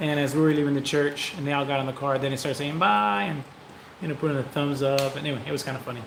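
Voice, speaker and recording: A man is speaking. Room echo is audible, along with noticeable background noise. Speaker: vlogger. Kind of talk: casual chat. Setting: livestream. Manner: fast.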